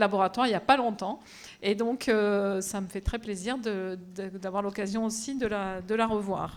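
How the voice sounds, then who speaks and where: On a very clean recording with a silent background, a woman speaks at a medium pitch and moderate pace with fairly even intonation. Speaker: professor of bacteriology. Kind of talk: lecture. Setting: auditorium with audience. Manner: loud.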